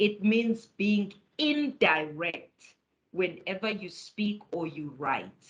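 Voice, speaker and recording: A woman with a South African accent speaks very slowly at medium pitch, somewhat breathy, with lively intonation. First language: isiZulu. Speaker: academic writing lecturer. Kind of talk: webinar lecture.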